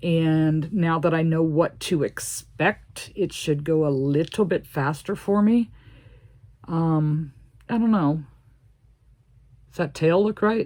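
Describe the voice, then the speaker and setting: A woman speaks with a dark, mellow tone. Her pauses are long and frequent. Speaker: crochet video creator. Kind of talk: crochet tutorial, casual chat. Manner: chatty, thinking aloud.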